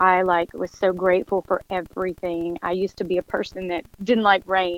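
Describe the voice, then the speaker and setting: The voice is heard at a moderate pace with a dry, close sound with no echo. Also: woman. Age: 40s. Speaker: motivational speaker. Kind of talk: casual chat. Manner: animated.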